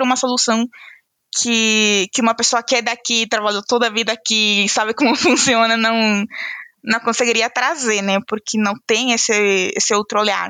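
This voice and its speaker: A bright, sharp tone at a moderate pace, fairly even intonation, dry, close sound with no echo. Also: woman. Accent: non-native. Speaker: HR analyst. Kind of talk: casual interview chat.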